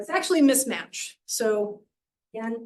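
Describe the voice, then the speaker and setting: Her pitch is fairly high and varies in an ordinary way as this woman speaks. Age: middle-aged. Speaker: professor. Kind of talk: lecture. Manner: fast.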